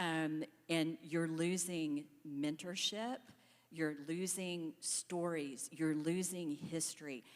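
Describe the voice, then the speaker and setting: Very slow, fairly low female speech in an American accent, with fairly even intonation. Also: very even loudness. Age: 60s. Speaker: panelist, staffing company employee. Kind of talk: panel discussion.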